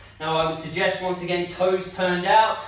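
In a room with strong echo, a man with a high pitch talks at a moderate pace with monotone, flat intonation. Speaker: personal trainer. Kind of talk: tutorial. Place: home room. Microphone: camera far.

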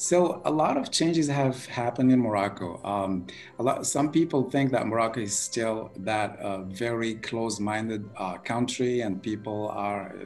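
A man talks at a moderate pace with hardly any pauses. Faint music sits in the background. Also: ordinary pitch variation. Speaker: remote interview guest. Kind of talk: interview answer. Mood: cheerful, smiling. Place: home room. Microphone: video call.

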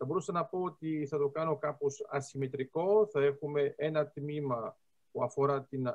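Over a quiet background, the speech moves at a fairly slow pace with ordinary pitch variation. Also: man. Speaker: lecturer on geostrategy. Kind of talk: lecture. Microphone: video call.

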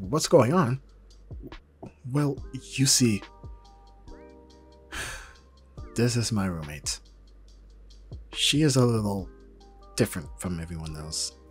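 A man puts on a character voice, fairly low with a husky, rough edge and lively intonation. He speaks slowly with long, frequent pauses over faint background music.

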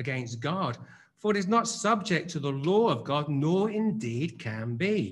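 Speaking at a fairly slow pace, a man lets his pitch take very wide swings. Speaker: preacher. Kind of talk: scripture reading. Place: church. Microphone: podium.

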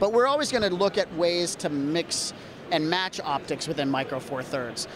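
Over clear background noise, a man talks in a fairly high pitch.

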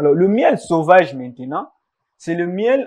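A man is speaking over a quiet background. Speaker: guest. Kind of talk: interview answer. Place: studio.

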